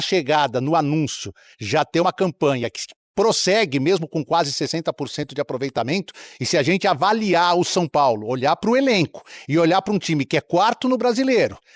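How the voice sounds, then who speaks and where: Recorded dry and close with no echo against a quiet background, the voice moves at a moderate pace with very wide pitch swings. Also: man. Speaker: sports reporter. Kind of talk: TV sports analysis.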